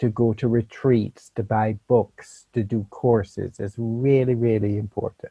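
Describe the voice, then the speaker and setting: A man with a Jamaican accent, medium pitch, fairly even intonation and a fairly slow pace. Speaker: meditation teacher. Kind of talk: talk to a meditation group.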